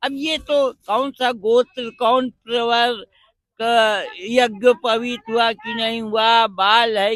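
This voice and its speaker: Pitched extremely high, a man's raised, projected voice comes through dry and close with no echo. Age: 70s. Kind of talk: interview.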